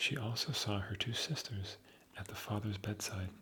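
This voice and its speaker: A soft-spoken man with a fairly low pitch, talking at a fairly slow pace over noticeable background noise. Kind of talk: sleep story.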